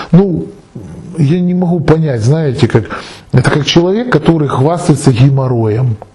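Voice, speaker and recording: The man's fairly slow speech carries lively intonation, with noticeable background noise behind it. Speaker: esoteric video blogger answering viewer questions. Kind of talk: monologue answering a viewer question.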